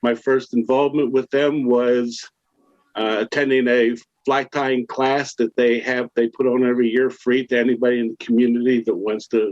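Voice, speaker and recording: His pitch sits in the medium range, with monotone, flat intonation. This man talks at a moderate pace. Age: 70s. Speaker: conservation volunteer, army veteran. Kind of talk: panel presentation.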